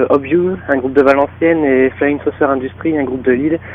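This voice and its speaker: Fairly even intonation in a fairly high male voice, with noticeable background noise underneath. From northern France. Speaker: rock band guitarist. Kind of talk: interview. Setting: phone call.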